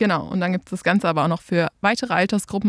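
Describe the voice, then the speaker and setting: In a very clean recording with a silent background, a woman speaks at a medium pitch with ordinary pitch variation, and the sound is dry and close with no echo. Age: 20s. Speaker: dance teacher. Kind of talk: casual chat.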